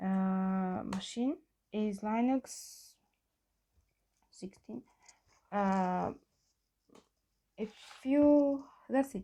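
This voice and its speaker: With a non-native accent, a woman speaks very slowly at a medium pitch in a dark, mellow tone, with ordinary pitch variation and long, frequent pauses. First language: not English. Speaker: programming tutorial maker. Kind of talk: tutorial. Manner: halting, many fillers.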